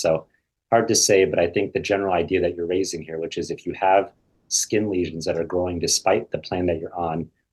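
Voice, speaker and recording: A man's very deep, low voice with an American accent, somewhat breathy and delivered in a flat monotone. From US Midwest, Iowa. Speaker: hematologist-oncologist. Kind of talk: expert Q&A webinar. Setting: video call webinar.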